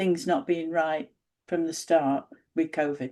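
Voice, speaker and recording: With a northern English accent, a woman talks at a fairly quick pace in a fairly low voice with ordinary pitch variation. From northern England. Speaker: independent researcher. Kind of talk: interview conversation.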